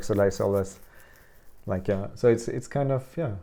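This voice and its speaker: A man with a German accent speaks in a dark, mellow tone at a fairly low pitch. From Austria. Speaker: visual artist. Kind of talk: interview conversation. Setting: artist's studio. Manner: halting, many fillers and restarts.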